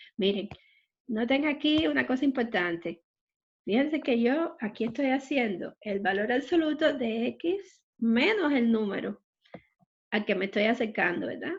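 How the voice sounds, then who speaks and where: A woman has a normal speaking voice with a fairly high pitch. She talks at a fairly slow pace with lively intonation. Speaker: math teacher. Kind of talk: online math lecture.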